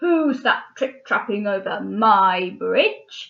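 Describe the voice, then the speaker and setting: A woman's put-on character voice, gruff, growling and bellowing at a fairly high pitch and a very slow pace. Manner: roaring, gruff.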